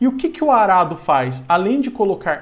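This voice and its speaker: With a countryside Brazilian accent, a man speaks at a fairly slow pace with lively intonation. Room echo is audible. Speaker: geography teacher. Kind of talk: lecture. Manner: animated.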